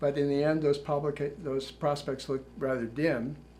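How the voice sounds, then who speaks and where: Somewhat breathy and fairly high in pitch, a man with an American accent talks at a fairly quick pace. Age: 70s. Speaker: retired journalist and author. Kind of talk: prepared talk.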